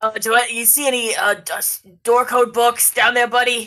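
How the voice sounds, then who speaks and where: A woman puts on a high-pitched character voice. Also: moderate pace. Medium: actual play.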